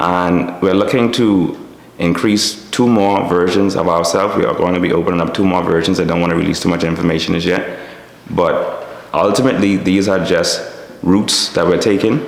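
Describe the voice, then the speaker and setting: A man with a Bahamian accent, very deep, low pitch, very even loudness and fairly even intonation, amid audible room echo and noticeable background noise. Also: moderate pace. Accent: Bahamian dialect, Abaco island, stands out. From Bahamas, Little Abaco. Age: 30s. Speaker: business owner and engineer. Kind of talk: interview monologue.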